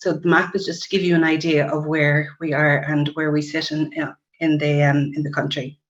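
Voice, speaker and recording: With an Irish accent, a woman speaks in a very deep, low pitch. Her intonation is monotone and flat. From Ireland. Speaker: nurse practitioner. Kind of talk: webinar presentation. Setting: online webinar. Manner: fast.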